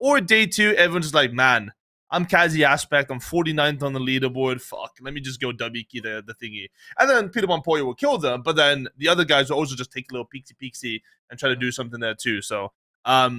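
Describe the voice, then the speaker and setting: A man with a Dutch accent talks very fast in a fairly high, bright, sharp voice with an animated tone. His pitch varies by ordinary amounts while his loudness swings a lot. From Netherlands. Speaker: esports podcast co-host. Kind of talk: casual chat.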